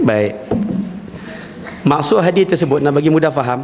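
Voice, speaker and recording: A man speaks in a fairly high pitch. Audible room echo and noticeable background noise surround him. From northern Peninsular Malaysia. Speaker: religious teacher. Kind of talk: religious lecture. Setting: mosque with audience. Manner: animated.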